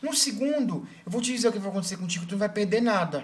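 A man's high-pitched voice at a fairly quick pace, with lively intonation. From Brazil. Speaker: video blogger on weight loss. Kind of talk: angry rant, scolding and urgent, stern advice to viewers. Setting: video blog to camera. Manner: emphatic and exasperated, repeating "para de loucura" with swearing. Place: home room. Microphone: webcam.

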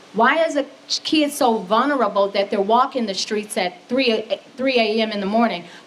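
Lively intonation from a woman at a moderate pace, with light background noise. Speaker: mental health advocate; speaker. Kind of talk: public speech. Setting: stage with audience. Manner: passionate. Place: hall. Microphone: studio mic.

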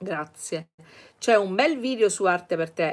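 This woman speaks with lively intonation. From Sicily, Catania; Sicily. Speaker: art teacher, channel owner; art teacher. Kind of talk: live-stream Q&A lesson. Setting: live stream. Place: home room. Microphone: webcam.

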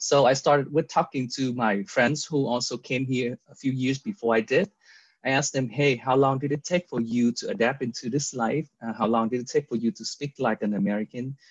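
A man with a Vietnamese accent at medium pitch and a fairly quick pace, with ordinary pitch variation, a dry sound with no echo and a quiet background. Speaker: real estate agent. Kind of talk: casual interview. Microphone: video call.

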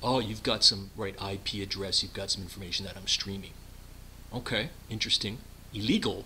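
A man speaks at a fairly quick pace in a bright, sharp tone over light background noise. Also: fairly low pitch for a man, fairly even intonation. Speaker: comic phone-call skit. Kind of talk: acted phone conversation. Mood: defensive, exasperated, pleading. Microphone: webcam.

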